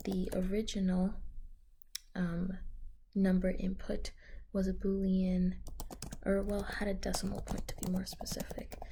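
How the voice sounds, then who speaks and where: Everything here is whispered. The delivery comes rather slowly. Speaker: programming student. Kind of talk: coding tutorial. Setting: library. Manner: whispering.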